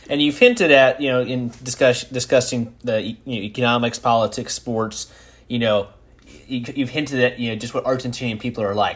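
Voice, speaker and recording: This man has an unremarkable speaking voice at a medium pitch, his intonation fairly even as he moves along fairly quickly. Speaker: podcast host. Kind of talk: casual interview chat.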